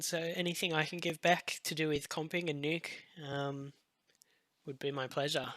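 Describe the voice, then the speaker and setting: With an Australian accent, a man speaks in a fairly even intonation. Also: very clean recording, silent background. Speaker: visual effects compositor. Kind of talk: live-stream tutorial. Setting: live stream. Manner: hesitant, many fillers.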